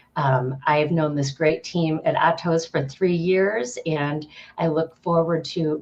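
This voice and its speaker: A woman talks fairly slowly in a very deep, low pitch, her intonation fairly even. Noticeable background noise runs underneath. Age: 40s. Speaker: nonprofit partnerships director. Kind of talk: panel introduction.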